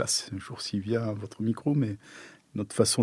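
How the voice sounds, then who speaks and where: At a moderate pace, a man with a southern French accent speaks in a dark, mellow tone at a fairly low pitch. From southern France. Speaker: architect. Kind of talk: interview answer. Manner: discreet, hesitant.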